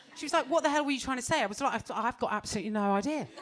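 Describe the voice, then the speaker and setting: Very wide pitch swings mark the voice, heard over noticeable background noise. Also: woman. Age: 40s. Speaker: stand-up comedian. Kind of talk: stand-up. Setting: stage with audience. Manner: animated.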